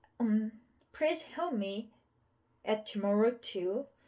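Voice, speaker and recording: The pace is very slow, with ordinary pitch variation. A woman talks in a Korean accent. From South Korea. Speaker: English learner. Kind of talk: casual chat. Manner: halting.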